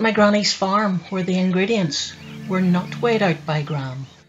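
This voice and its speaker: Music plays behind a woman with a Northern Irish accent and a fairly low pitch. She speaks at a fairly slow pace with lively intonation. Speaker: poet. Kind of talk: poetry reading.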